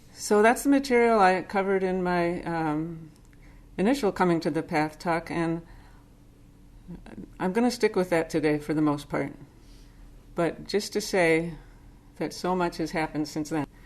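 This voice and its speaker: A woman with an American accent speaks at a fairly low pitch with ordinary pitch variation and long, frequent pauses. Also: moderate pace. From US Northeast (Boston suburb, Massachusetts). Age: 60s. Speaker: Zen teacher. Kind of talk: dharma talk.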